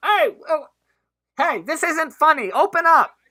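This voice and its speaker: In a put-on character voice, the speaker uses a high pitch and a fairly slow pace. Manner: yelling.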